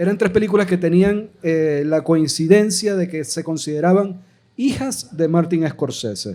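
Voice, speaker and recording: Dark and mellow in tone, a man's high voice moves at a fairly slow pace with ordinary pitch variation. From Venezuela, Maracaibo (Zulia). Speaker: filmmaker, podcast panelist. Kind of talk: live podcast panel discussion. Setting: live recording with audience.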